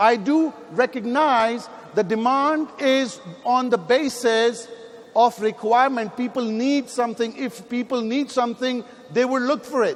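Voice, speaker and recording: Noticeable background noise surrounds this man's voice. His pitch is extremely high and his tone animated. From Pakistan. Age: 50s. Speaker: network marketing leader. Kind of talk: motivational speech. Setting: stage with audience.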